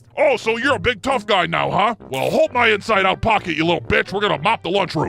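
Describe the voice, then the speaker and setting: A put-on character voice is raised and projected. It rattles along at a very fast pace. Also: man, high pitch for a man. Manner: mocking, intimidating.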